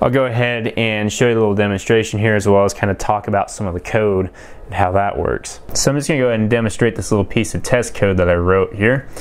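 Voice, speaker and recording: A man with a fairly low pitch at a very fast pace, fairly even intonation and hardly any pauses. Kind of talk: tutorial. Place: workshop.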